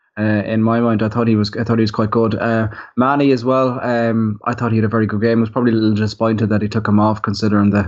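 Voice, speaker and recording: Speaking very fast with hardly any pauses, a man keeps a medium pitch and a flat monotone. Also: very even loudness. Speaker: football podcast panelist. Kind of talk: casual chat. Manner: halting.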